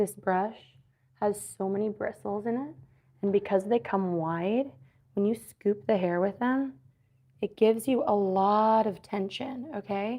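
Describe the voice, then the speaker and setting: Soft-spoken, a woman talks at a medium pitch with ordinary pitch variation. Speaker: hairstylist. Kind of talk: tutorial. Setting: live stream.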